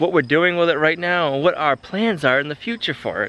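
There's lively intonation from this man, recorded with a dry sound and no echo. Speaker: homesteader vlogger. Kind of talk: casual vlog chat. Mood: happy, reflective, grateful. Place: garden. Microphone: phone near.

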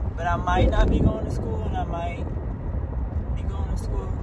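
A woman speaks at a moderate pace over loud background noise. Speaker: vlogger. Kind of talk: casual vlog chat. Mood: unsure, mildly worried. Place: car.

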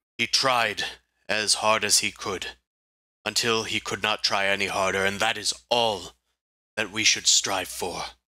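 A man does a put-on character voice, raspy and fairly low, at a moderate pace. It comes out in a monotone, flat intonation with long, frequent pauses. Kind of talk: solemn fantasy roleplay. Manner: grave, formal, proud.

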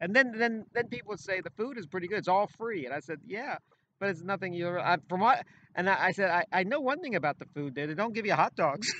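A man's high, bright, sharp voice, raised and projected, at a very fast pace with lively intonation, dry with no echo over light background noise. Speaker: former radio and sports announcer, show co-host; talk show guest. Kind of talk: casual chat. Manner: halting, repeats words often. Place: open country. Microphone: phone near.

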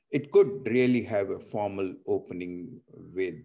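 The speaker has an Indian accent and a fairly slow pace. The background is quiet. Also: man. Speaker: transplant surgeon and foundation CEO, moderator. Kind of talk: moderated webinar discussion. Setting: video call. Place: home room. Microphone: video call.

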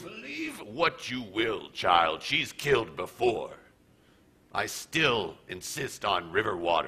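A man talks at a fairly slow pace with a medium pitch. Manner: bitter, suspicious.

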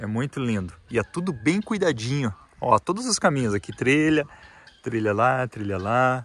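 A man's voice at a fairly slow pace, dry with no echo. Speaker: family vlogger. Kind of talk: casual vlog chat. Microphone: phone near.

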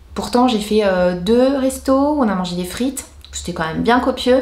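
An animated voice at a moderate pace, with ordinary pitch variation and audible room echo. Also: woman. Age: 40s. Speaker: beauty and lifestyle YouTuber; lifestyle YouTuber. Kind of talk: casual vlog talking to camera. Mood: cheerful, enthusiastic. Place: home room.

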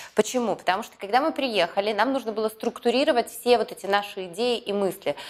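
Fairly quick speech from a woman, with ordinary pitch variation. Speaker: business YouTube blogger and mentor. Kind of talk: vlog-style address to viewers. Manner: energetic, enthusiastic. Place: studio.

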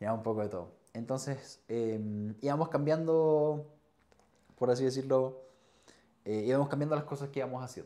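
Long, frequent pauses break up this dark, mellow voice with a Chilean accent. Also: man, ordinary pitch variation, moderate pace. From Chile, Chillán. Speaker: nurse and streamer; podcast guest. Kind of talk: casual chat. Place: home room. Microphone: lapel.

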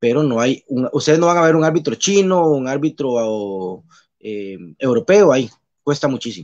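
A man uses a normal speaking voice, fairly high in pitch, at a moderate pace with lively intonation. The background is quiet. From Costa Rica, Pérez Zeledón; Costa Rica. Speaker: basketball referee; guest. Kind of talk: casual interview. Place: home room. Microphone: video call.

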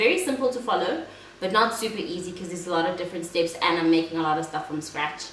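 Against light background noise and audible room echo, a woman with a fairly low pitch speaks at a fairly quick pace. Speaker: food vlogger. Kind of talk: casual vlog chat. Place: home room.

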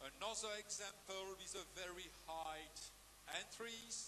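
The speaker moves at a very slow pace with ordinary pitch variation. Noticeable background noise is present. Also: man. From Belgium. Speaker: dog show ring announcer. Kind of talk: live commentary. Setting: PA system at dog show arena. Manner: formal.

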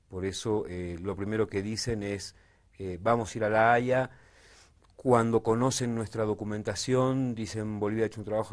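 A man with an unremarkable speaking voice talks at a moderate pace in a fairly low pitch, his intonation fairly even against a quiet background. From Argentina. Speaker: documentary filmmaker and political analyst; political analyst. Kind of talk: political discussion. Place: studio. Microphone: lapel.

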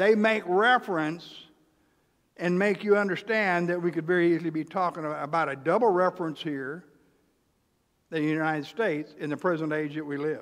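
With an American accent, a man talks in a high pitch, leaving long, frequent pauses against a quiet background. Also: ordinary pitch variation, fairly quick pace. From US South, Texarkana area; US South. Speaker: pastor. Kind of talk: sermon. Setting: church. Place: church.

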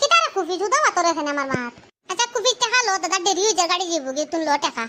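This cartoonish character voice is pitched extremely high and races along at a very fast pace. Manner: hurried, affectionate.

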